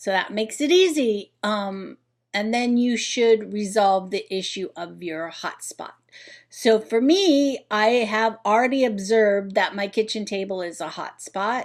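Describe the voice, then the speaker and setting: Recorded very cleanly against a silent background, a woman with an ordinary speaking voice talks at a fairly slow pace, her fairly high pitch moving with ordinary variation. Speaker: home organizing vlogger. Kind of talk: tutorial.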